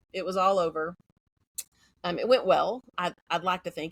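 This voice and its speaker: In a dry, close sound with no echo, a woman of medium pitch speaks with an American accent. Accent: Texas accent, denied by herself. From Central Texas. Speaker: educator. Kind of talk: interview conversation. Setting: podcast. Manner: fast.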